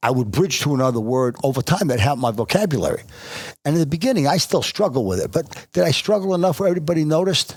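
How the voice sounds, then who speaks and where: This man talks very fast with an American accent, his fairly high pitch making very wide swings. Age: 70s. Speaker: former football coach and business executive. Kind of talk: interview. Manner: halting.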